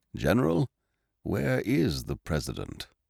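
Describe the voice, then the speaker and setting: Gruff and put-on, this character voice moves at a fairly slow pace with very wide pitch swings. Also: man, very deep, low pitch for a man. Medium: read story. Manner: gruff, clipped.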